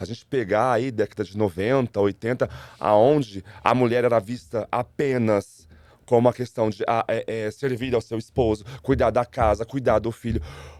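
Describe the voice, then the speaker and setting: The voice moves at a moderate pace with ordinary pitch variation. The recording is very clean with a silent background, dry and close with no echo. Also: man. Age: 40s. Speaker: school teacher. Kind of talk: interview conversation. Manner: halting, with repeated words.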